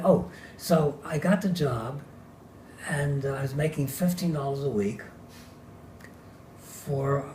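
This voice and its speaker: A man with an American accent talks at a very slow pace. His pitch is fairly high, and noticeable background noise runs underneath. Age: 90s. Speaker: retired draftsman. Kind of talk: oral history interview answer.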